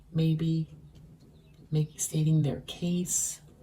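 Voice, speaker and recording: A woman talks at a very slow pace with a very deep, low pitch. Her tone is dark, mellow and somewhat breathy. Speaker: tarot reader. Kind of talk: tarot reading. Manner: slow and careful.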